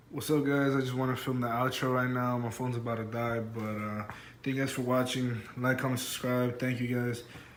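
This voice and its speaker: Monotone and flat, a man speaks at a fairly quick pace amid audible room echo and noticeable background noise. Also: medium pitch for a man. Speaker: DIY car video creator. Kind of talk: casual vlog talk. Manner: hesitant, many fillers.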